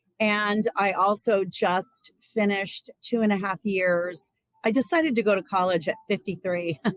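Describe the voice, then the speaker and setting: A woman with a plain, everyday voice talks at a fairly slow pace and a medium pitch, with ordinary pitch variation. Her loudness is very even, and the sound is dry and close with no echo. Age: 60s. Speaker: Ayurveda practitioner and psychotherapy trainee. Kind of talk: interview.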